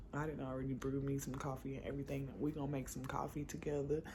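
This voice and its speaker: A woman speaks with an American accent in a very deep, low voice with a dark, mellow tone. Vocal fry shows, and room echo is audible. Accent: slight country drawl. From Sherman, Texas. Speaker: vlogger. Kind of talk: casual vlog. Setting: at home. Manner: fast.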